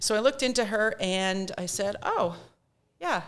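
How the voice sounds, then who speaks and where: This woman talks in a Nova Scotia accent. Her pitch variation is ordinary. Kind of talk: interview.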